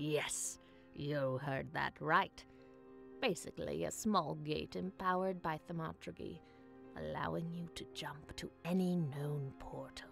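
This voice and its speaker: Over clear background music, a put-on character voice pitched low-to-middle talks at a fairly slow pace. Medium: game stream. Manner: brusque, self-assured.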